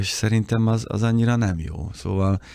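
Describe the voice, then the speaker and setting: A man speaks against a quiet background in a dry sound with no echo. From Hungary. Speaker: motoring journalist. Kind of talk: casual chat. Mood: reflective, calm. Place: studio. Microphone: studio mic.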